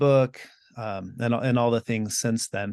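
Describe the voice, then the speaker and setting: A man speaks at a moderate pace with an American accent, in a plain, everyday voice of medium pitch and fairly even intonation. The sound is dry and close with no echo, over a quiet background. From US and Mexico (bilingual, teens in Mexico). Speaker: Buddhist teacher and podcaster. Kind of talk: interview conversation.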